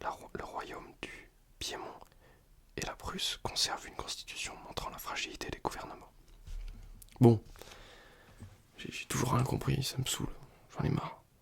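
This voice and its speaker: Whispering in a relaxed tone, a man leaves long, frequent pauses. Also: fairly slow pace. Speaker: student who makes ASMR videos. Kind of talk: ASMR soft-spoken study session, casual talk to camera. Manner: soft-spoken, relaxed, sometimes whispering.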